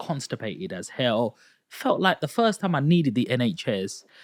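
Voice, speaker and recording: In a very clean recording with a silent background and a dry, close sound with no echo, a man's voice moves through very wide pitch swings. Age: 30s. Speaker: podcast host. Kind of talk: casual interview chat. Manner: animated storytelling.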